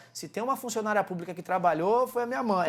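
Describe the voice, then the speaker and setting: Noticeable background noise accompanies a man with a high pitch and ordinary pitch variation. He talks at a fairly quick pace in an animated tone. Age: 40s. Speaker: martial arts coach and entrepreneur. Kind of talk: interview.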